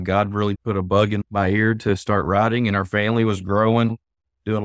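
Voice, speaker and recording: A man speaks in a monotone, flat intonation with an Arkansas accent. His pitch is fairly low, and the sound is dry and close with no echo. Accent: Southern US (Arkansas). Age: 50s. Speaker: author. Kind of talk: interview chat.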